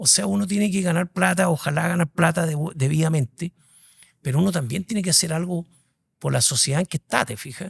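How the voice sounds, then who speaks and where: With a Chilean accent, a man speaks fairly quickly in a high pitch and ordinary pitch variation. The sound is dry and close, with no echo. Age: 60s. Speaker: executive headhunter. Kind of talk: interview conversation.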